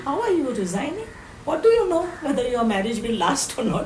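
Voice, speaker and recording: A woman with an Indian accent speaks at a fairly quick pace amid noticeable background noise. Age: 80s+. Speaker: social activist. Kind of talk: interview answer.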